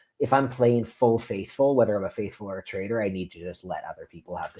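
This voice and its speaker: A man with a Canadian accent talks at a fairly quick pace in a dark, mellow tone, his medium pitch varying in an ordinary way. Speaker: reality TV contestant. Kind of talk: interview. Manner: loud; animated.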